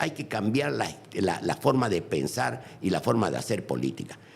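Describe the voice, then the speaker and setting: A man with vocal fry at a moderate pace. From Bolivia. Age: 80s+. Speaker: former politician. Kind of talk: interview. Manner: animated.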